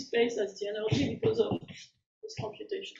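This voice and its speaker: There is audible room echo as a woman speaks at a high pitch. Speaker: mathematics professor. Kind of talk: lecture. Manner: fast.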